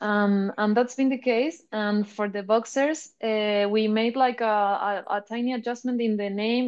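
A woman speaks in a Spanish accent at a fairly slow pace, her pitch fairly high. Her intonation stays fairly even against a quiet background. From Chile. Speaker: artist and brand representative. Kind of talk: interview.

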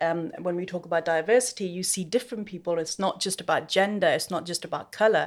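A woman talks at a very fast pace with a medium pitch and ordinary pitch variation. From Pakistan, raised in UK. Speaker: event manager. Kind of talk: casual chat.

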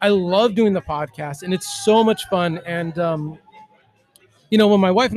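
At a moderate pace, a man with an American accent speaks at a high pitch with ordinary pitch variation. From Southern California. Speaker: craft beer podcaster. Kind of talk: casual chat. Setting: in a brewery.

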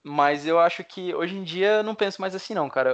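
Spoken at a moderate pace with ordinary pitch variation, this is a plain, everyday voice. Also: man. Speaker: former exchange student. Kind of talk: casual chat.

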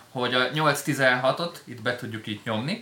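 A man's medium-pitched voice, fairly slow in pace, with ordinary pitch variation and noticeable background noise. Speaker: live stream host. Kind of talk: casual live stream chat about DJ gear. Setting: studio.

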